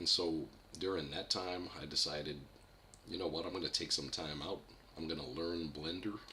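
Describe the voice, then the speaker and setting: A man speaks at a moderate pace in a very deep, low voice, his intonation fairly even, with audible echo from the room. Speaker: independent animator. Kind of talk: livestream update talk. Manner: unscripted, hesitant with fillers; stuttering at times.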